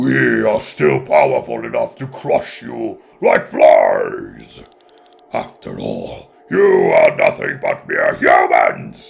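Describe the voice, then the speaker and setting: A man speaks at a very slow pace in a put-on character voice. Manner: menacing, boastful.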